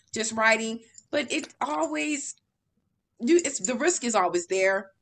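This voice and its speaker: The speaker sounds animated while keeping to a fairly slow pace. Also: woman. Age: 30s. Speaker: podcast host and writing coach. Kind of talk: casual interview. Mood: warm, smiling, encouraging. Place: home room. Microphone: video call.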